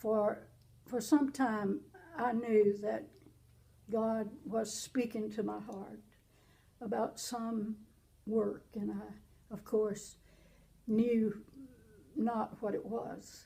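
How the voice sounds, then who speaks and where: With a Southern US accent, a woman at a fairly high pitch speaks very slowly in a dark, mellow, somewhat breathy tone, her intonation monotone and flat, with long, frequent pauses. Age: 80s+. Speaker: pastor. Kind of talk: interview testimony.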